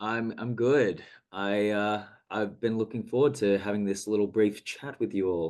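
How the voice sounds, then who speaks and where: With an Australian accent and a fairly low pitch, a man talks over a quiet background. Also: fairly even intonation, moderate pace. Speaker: actor. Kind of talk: casual video chat interview. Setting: video call.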